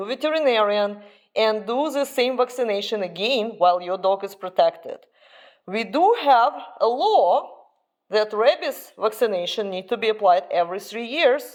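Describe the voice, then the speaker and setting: A woman's fairly high voice in a Russian accent, with lively intonation and a moderate pace. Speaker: dog owner and breeder vlogger. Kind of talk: informational vlog.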